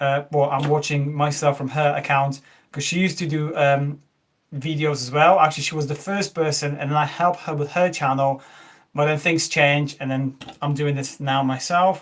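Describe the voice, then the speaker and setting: Somewhat breathy and flat in intonation, a man speaks with a Polish accent. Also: fairly high pitch for a man, moderate pace, very clean recording, silent background. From Poland. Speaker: tech YouTuber. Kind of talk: live stream unboxing chat. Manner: halting, many fillers.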